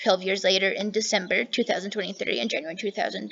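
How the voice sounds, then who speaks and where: A woman is speaking. Noticeable background noise can be heard behind her. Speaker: true crime channel host. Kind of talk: reading aloud. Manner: fast; animated.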